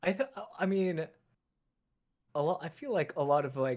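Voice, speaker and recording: Fairly high pitch for a man, lively intonation and a moderate pace. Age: 20s. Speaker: voice actor. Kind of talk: casual chat. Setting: livestream. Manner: hesitant, filler-heavy.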